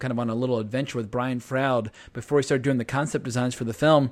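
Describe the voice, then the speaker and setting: This is a man talking. He goes at a very fast pace. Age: 40s. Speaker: podcast host. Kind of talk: casual chat. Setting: remote recording.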